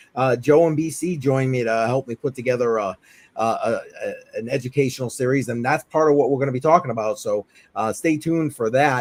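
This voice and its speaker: In a New England accent, a man talks fairly quickly in a medium pitch and an animated tone, recorded dry and close with no echo. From Massachusetts. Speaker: crypto livestream host. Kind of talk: casual chat. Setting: live stream.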